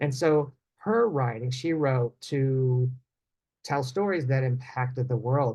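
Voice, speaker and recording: A man's somewhat breathy, dark and mellow voice at medium pitch, with ordinary pitch variation, very even loudness and a very slow pace. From West Virginia, Appalachia. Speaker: children's book author and literacy educator. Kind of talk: conference talk.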